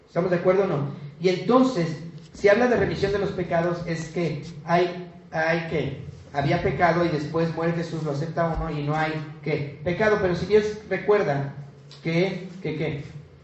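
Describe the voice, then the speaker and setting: Over noticeable background noise and audible room echo, a man speaks at a moderate pace. His pitch is high and his intonation fairly even. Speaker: preacher. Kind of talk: sermon. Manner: halting.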